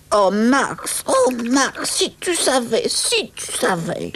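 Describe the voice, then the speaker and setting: This is a put-on character voice delivered at a very slow pace. Its loudness swings widely from moment to moment. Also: woman, high pitch for a woman. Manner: excited, breathless.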